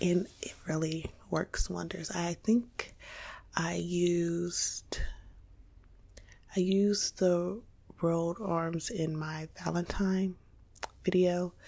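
Soft-spoken and somewhat breathy, a woman speaks at a very slow pace with long, frequent pauses. Her fairly low voice has a dark, mellow, calm tone and monotone, flat intonation. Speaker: ASMR content creator. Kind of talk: casual talk to camera, informational ASMR video. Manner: soft-spoken, calm. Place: home room.

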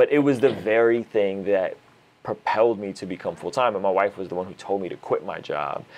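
With big swings in loudness, a man's speech hurries along at a fairly quick pace. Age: 30s. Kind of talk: casual interview chat. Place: studio. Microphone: lapel.

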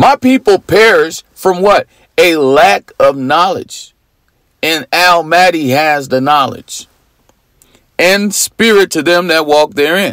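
Lively intonation marks this very slow speech, recorded with a dry, close sound and no echo. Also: man, high pitch for a man. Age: 40s. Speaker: religious preacher. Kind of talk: sermon. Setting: at home.

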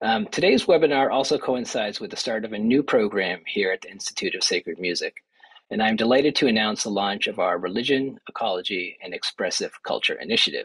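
Against a quiet background, a man talks. His pace is very fast. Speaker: institute administrator. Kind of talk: formal welcome remarks. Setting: video call. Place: office. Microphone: webcam.

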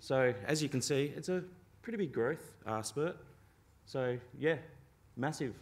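A man talking at a fairly slow pace. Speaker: internet exchange representative. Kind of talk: conference talk. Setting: stage with audience. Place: hall.

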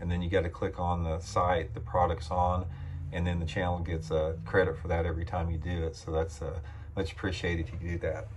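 A man speaks with a very deep, low pitch and fairly even intonation. Light background noise can be heard. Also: fairly quick pace. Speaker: fishing channel host. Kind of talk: casual vlog chat. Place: home room. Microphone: phone near.

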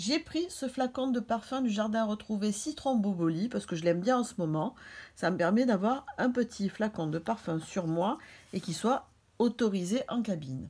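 A woman's fairly high, somewhat breathy voice with a dark, mellow tone, lively intonation and a moderate pace. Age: 50s. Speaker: beauty and fashion YouTuber; beauty vlogger. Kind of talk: beauty tutorial vlog. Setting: hotel room. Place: home room. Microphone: phone near.

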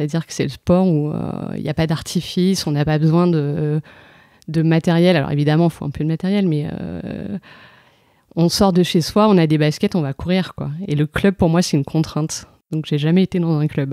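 In a dry, close sound with no echo, a woman speaks at a moderate pace in a very deep, low pitch, with a dark, mellow tone and fairly even intonation. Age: 30s. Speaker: amateur runner. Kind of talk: casual interview. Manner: halting, many hesitations.

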